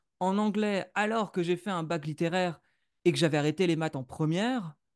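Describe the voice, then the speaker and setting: A man's high voice at a moderate pace with ordinary pitch variation, dry and close with no echo over a quiet background. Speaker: podcaster and entrepreneur, former musician. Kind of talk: interview. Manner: hesitant, with many fillers.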